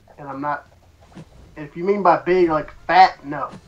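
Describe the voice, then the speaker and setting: A man with a Southern US accent talks in a fairly even intonation. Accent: Southern US twang. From US South. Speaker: online gaming co-streamer. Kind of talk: casual chat. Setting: Skype call.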